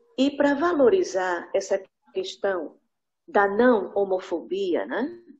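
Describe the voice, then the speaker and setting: Very slow woman's speech at a fairly high pitch, with very wide pitch swings. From Northeast Brazil, Recife, Pernambuco. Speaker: English teacher, workshop participant. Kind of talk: participant comment.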